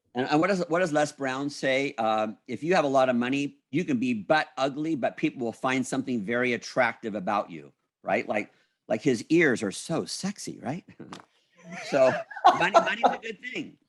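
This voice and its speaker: An animated man with a fairly high pitch at a moderate pace, in a very clean recording with a silent background. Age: 60s. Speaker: motivational speaker and business owner. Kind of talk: interview conversation.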